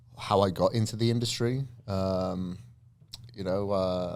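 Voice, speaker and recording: Here is a man with a Welsh accent. His pitch is fairly low, with ordinary pitch variation. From Wales. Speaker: fitness entrepreneur and trainer. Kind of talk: podcast interview.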